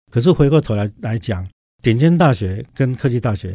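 A man at medium pitch speaks in a dark, mellow, somewhat breathy tone with lively intonation. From Taiwan, Tainan. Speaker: university president. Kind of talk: interview.

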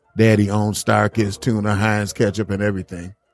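Over background music, a man with a fairly low voice speaks at a moderate pace. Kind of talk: radio DJ patter: relaxed, joking show-host banter between music sets. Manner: playful, chatty and upbeat, teasing his co-hosts and laughing as he riffs.

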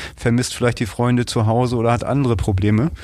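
With an unremarkable speaking voice, a man delivers his words at a fairly quick clip. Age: 50s. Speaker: school business manager. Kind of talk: interview. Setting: office.

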